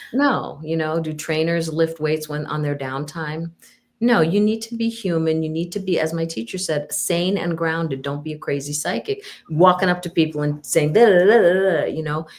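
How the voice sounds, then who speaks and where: A woman with a normal speaking voice talks at a moderate pace, her fairly low pitch moving with ordinary variation. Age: 60s. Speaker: psychic medium and counselor. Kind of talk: casual interview chat.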